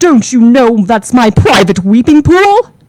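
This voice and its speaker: A woman puts on a high-pitched character voice. She talks at a fairly slow pace. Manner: angry.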